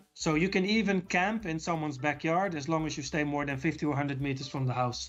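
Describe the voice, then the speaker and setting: The pace is very fast, while the pitch varies in an ordinary way. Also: man, fairly high pitch for a man. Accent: Dutch. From Netherlands. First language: Dutch. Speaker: YouTuber, city walk videographer. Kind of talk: interview. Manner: halting, many repetitions.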